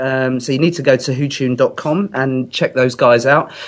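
A man with a British accent speaks at a moderate pace, his pitch varying in an ordinary way. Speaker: singer-songwriter. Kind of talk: casual chat. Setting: phone call.

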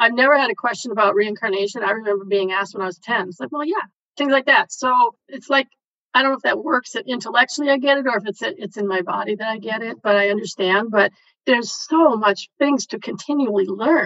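A woman's fairly high-pitched voice at a very fast pace. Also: ordinary pitch variation. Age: 60s. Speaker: healing session client. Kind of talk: casual chat.

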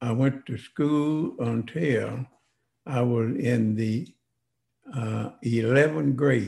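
Very slowly, a man speaks in a dark, mellow tone that is somewhat breathy. His pitch is medium, with ordinary variation. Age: 90s. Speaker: civil rights veteran. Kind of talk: interview, life story. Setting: in-person in host's home.

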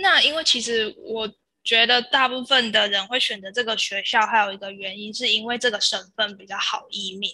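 Loudness rises and falls in big swings. The tone is bright and sharp. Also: woman, fairly high pitch for a woman, ordinary pitch variation, moderate pace. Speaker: former exchange student. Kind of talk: interview.

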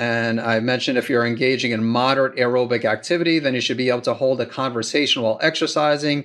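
This man speaks in a plain, everyday voice at a medium pitch with ordinary pitch variation against a quiet background. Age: 50s. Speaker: doctor hosting a thyroid health podcast. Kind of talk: solo Q and A monologue.

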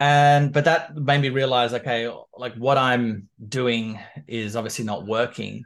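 Against a quiet background, someone with an Australian accent speaks at a fairly slow pace. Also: man, medium pitch for a man, ordinary pitch variation. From Canberra, Australia. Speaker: business coach. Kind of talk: casual interview.

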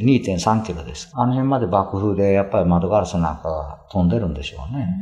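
Noticeable background noise underlies a man's speech at a moderate pace. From Hiroshima, Japan. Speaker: piano tuner. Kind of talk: interview. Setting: museum visit.

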